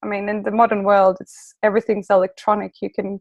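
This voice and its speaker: A woman speaks in a Swedish accent at a medium pitch with a monotone, flat intonation. The sound is dry and close, with no echo. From Sweden. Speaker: relocation coach. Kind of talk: interview.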